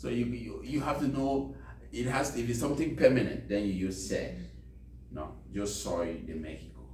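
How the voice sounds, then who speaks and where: Noticeable background noise and audible room echo surround a man whose fairly low voice swings very widely in pitch at a moderate pace. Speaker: volunteer English teacher. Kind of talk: language class. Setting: library classroom. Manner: code-switching English and Spanish.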